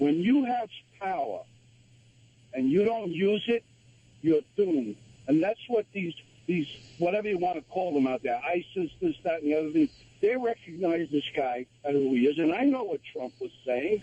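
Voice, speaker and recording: Speaking at a moderate pace with an American accent, a man with a high pitch makes very wide pitch swings and leaves long, frequent pauses, in a dry, close sound with no echo. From New York / New Jersey area. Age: 70s. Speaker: radio caller. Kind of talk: call-in opinion. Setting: phone call. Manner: animated, emphatic.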